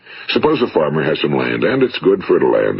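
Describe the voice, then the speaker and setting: A man with an American accent speaks fairly quickly as noticeable background noise fills the recording. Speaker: motivational speaker. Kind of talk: motivational speech recording.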